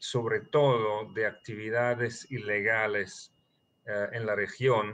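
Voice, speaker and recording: Speaking at a very slow pace against a quiet background, a man with a non-native accent has a fairly low pitch, fairly even intonation and a bright, sharp tone. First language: not Spanish (speaking Spanish). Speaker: terrorism financing analyst. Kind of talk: interview. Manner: halting, many fillers.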